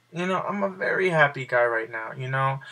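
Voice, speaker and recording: A quiet man speaks with a bright, sharp tone and lively intonation. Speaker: video blogger. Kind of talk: personal vlog monologue. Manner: halting.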